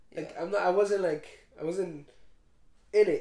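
The room echo is audible. Otherwise the background is quiet. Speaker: podcast co-host. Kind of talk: casual podcast chat. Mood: reflective, slightly low. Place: home room. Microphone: camera far.

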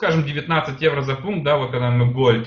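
A man talks in a somewhat breathy voice, his pitch varying in an ordinary way. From Germany (moved from Uzbekistan at age 7). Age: 30s. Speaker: sales presenter. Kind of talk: sales pitch. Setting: online presentation. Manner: halting, many fillers.

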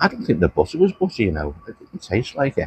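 A man's voice comes through dry with no echo against a quiet background. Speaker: food reviewer. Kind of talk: casual food review chat. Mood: mildly disappointed. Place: cafe. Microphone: phone near.

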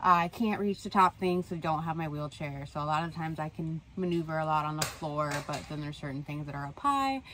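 At a fairly quick pace with hardly any pauses, a woman talks in a very deep, low pitch with ordinary pitch variation. The sound is dry with no echo, and there is light background noise. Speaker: van-life vlogger. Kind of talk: casual vlog chat. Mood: earnest, slightly frustrated. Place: home room. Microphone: phone near.

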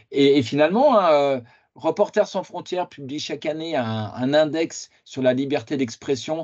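A man with a fairly high voice speaks at a fairly slow pace. His pitch varies in an ordinary way against a quiet background. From France, Lyon area; France. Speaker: political science researcher; conference lecturer. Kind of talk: lecture. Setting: video call. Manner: halting. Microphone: video call.

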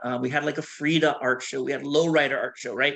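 A fairly high-pitched man with an American accent and ordinary pitch variation, against a quiet background. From US West Coast, Washington state (Bothell); Washington. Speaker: artist. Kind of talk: lecture. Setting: video call. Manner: talkative, laughs often. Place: home room. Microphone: video call.

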